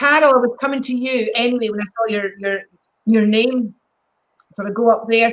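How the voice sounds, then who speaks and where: Pausing long and often, a woman with a Scottish accent talks at a moderate pace and a fairly high pitch with fairly even intonation. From Scotland. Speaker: psychic medium. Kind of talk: live psychic readings. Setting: live video stream.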